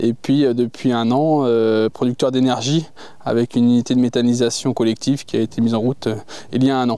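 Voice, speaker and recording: The delivery is fairly quick, with a dark, mellow tone, monotone, flat intonation and very even loudness. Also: man, medium pitch for a man. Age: 40s. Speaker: farmer and agricultural union candidate. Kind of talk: interview. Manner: hesitant, many filler sounds.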